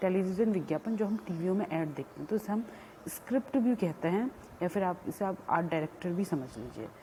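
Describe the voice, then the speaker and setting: A woman with a non-native accent, medium in pitch, somewhat breathy, with a dark, mellow tone, lively intonation and a moderate pace. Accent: weak Hindi, self-described. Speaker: college lecturer. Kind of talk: lecture. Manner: halting, with fillers.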